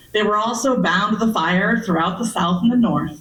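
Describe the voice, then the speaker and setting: Against noticeable background noise and audible room echo, a woman talks with an American accent. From US West Coast (Berkeley, California). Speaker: historian and archaeologist, author. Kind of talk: public lecture. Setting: library meeting room with audience. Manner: loud.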